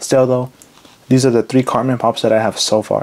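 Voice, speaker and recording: A man speaks over noticeable background noise. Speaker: YouTube collector. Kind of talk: casual video monologue. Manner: filler-heavy, casual.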